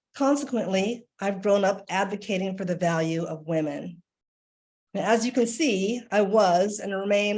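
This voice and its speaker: A woman with an American accent speaks at a moderate pace. It is an ordinary speaking voice. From Washington, D.C., US. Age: 60s. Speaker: artist and art educator. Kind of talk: presentation. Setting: video call.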